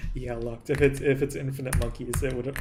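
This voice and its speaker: A man speaks at a medium pitch and a fairly quick pace. Noticeable background noise runs behind him. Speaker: gaming streamer. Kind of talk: live stream chat. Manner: casual, halting.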